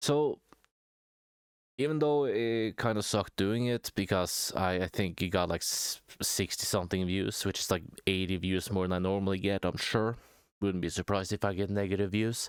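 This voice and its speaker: A man with a non-native accent, fairly low in pitch, with ordinary pitch variation, very even loudness and a dry, close sound with no echo. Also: moderate pace, very clean recording, silent background. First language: not English. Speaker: small YouTube commentator. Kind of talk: casual vlog monologue. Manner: hesitant, many fillers.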